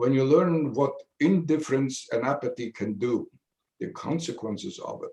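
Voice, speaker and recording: Fairly high male voice, somewhat breathy, with ordinary pitch variation at a moderate pace. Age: 80s+. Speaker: Holocaust survivor speaker. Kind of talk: testimony. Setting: video call.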